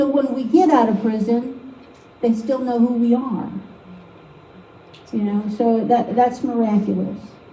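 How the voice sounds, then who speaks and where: A woman with a fairly high pitch speaks at a fairly slow pace, leaving long, frequent pauses. Room echo is audible, along with noticeable background noise. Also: fairly even intonation. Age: 50s. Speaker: artist giving a painting demo to an art league. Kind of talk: live painting demo with personal testimony. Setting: meeting room with live audience.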